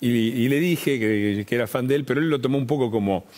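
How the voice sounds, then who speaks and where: With a Rioplatense accent, a man speaks very fast in a medium pitch with ordinary pitch variation. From Argentina, Avellaneda (Buenos Aires). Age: 60s. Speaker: journalist, writer and former congressman. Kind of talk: TV interview. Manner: halting, with many repetitions and fillers.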